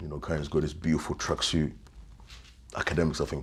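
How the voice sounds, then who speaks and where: Marked by vocal fry and a very deep, low pitch, a man with a London accent speaks at a moderate pace with fairly even intonation. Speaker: victim's best friend. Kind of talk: interview. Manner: halting.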